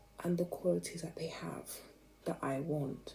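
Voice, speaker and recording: The whispering moves at a moderate pace. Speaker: vlogger. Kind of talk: casual monologue. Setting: at home at night.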